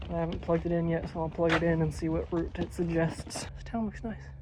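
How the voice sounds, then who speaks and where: A man talking at a very fast pace in an American accent, with audible room echo. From United States. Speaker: travel vlogger walking across Europe. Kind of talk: casual vlog narration while walking. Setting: outdoors.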